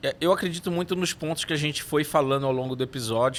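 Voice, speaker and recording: Fairly quick speech from a man, ordinary pitch variation, very clean recording with a silent background. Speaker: neuromarketing consultant. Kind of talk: podcast interview. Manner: hesitant, many fillers.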